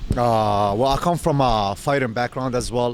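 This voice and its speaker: A man with an ordinary speaking voice, medium pitch, fairly even intonation and a moderate pace. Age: 30s. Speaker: meal prep business owner. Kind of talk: casual chat.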